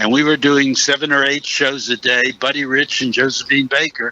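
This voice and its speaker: Against noticeable background noise, a man with an American accent speaks at a fairly high pitch. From Pittsburgh, Pennsylvania. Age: 80s+. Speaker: actor. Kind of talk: interview.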